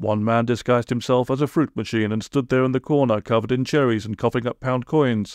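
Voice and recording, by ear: A natural voice reading aloud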